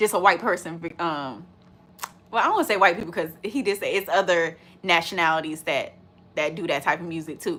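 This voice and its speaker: Loud and animated, a woman speaks fairly quickly at a fairly low pitch, with a bright, sharp tone and ordinary pitch variation. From US, urban neighborhood. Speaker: reaction video creator. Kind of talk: casual chat, reaction video.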